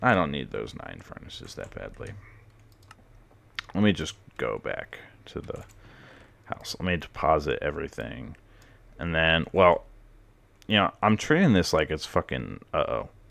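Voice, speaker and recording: Big swings in loudness mark this man's fairly slow speech. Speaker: gamer YouTuber. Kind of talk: let's play commentary. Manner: casual, rambling with fillers.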